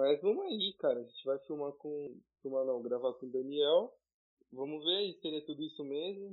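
He has an unremarkable speaking voice at a fairly high pitch for a man, with ordinary pitch variation. The man talks at a moderate pace, and his loudness swings widely. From São Paulo city, East Zone. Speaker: podcast co-host, pre-university student. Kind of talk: casual chat.

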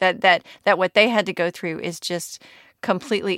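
Heard on a very clean recording with a silent background and a dry, close sound with no echo, a plain, everyday voice keeps fairly even intonation. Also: woman. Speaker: medical journalist. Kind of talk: interview conversation.

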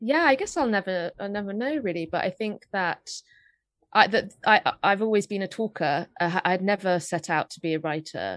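A woman speaks in a London accent with lively intonation. The sound is dry and close with no echo, on a very clean recording with a silent background. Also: medium pitch for a woman, moderate pace. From England, North London. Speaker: podcast co-host and writer. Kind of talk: casual chat.

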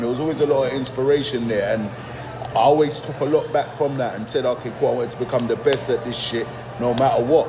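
Music plays in the background as a man speaks with audible room echo. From Nigeria, then England. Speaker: rapper. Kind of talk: casual interview chat.

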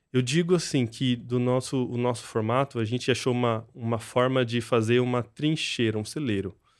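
A man with a plain, everyday voice speaks at a medium pitch and moderate pace. He hardly pauses, and his intonation is fairly even. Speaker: software company founder. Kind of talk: casual interview.

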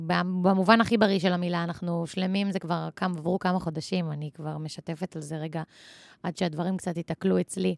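A woman speaks at a moderate pace in a fairly low pitch with fairly even intonation and a plain, everyday voice. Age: 20s. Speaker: podcast host. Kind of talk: casual chat.

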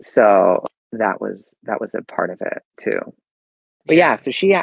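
A man with an American accent. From US, Maryland suburbs of Washington DC. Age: 40s. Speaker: podcast guest. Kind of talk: casual chat.

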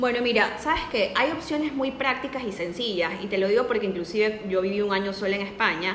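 Amid noticeable background noise and audible room echo, a woman with a fairly high pitch talks at a fairly quick pace with lively intonation and hardly any pauses. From Ecuador. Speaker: nutritionist. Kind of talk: casual interview.

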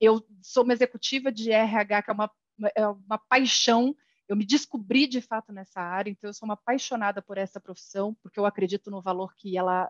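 A woman talks at a fairly quick pace in a fairly high pitch, with a normal speaking voice. The sound is dry and close, with no echo. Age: 40s. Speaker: HR executive. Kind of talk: casual interview.

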